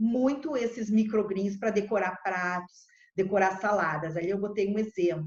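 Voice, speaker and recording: A woman with an ordinary speaking voice talks at a moderate pace, her pitch medium and her pitch variation ordinary. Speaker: agronomist. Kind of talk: presentation.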